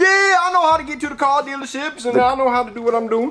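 This put-on character voice drawls at a very fast pace with a high pitch, over light background noise. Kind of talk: comic overacting. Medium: puppet show. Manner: slangy, simple, drawling.

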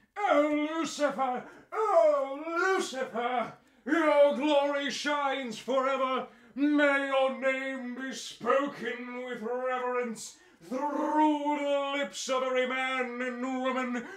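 Very slow, extremely high-pitched put-on character voice from a man. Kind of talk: prayer reading. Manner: solemn, reverent.

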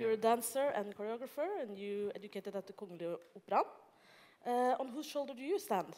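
Here a woman speaks in a plain, everyday voice at a moderate pace. Her pitch is fairly high, with ordinary variation. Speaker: panel moderator. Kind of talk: panel discussion. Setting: stage with audience.

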